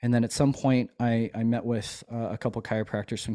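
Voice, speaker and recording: Over a quiet background, a man speaks at a moderate pace in a dark, mellow tone with monotone, flat intonation. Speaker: chiropractor and army veteran; podcast host, chiropractor as guest mentor. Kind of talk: casual interview chat. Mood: relaxed, reflective. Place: home room. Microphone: studio mic.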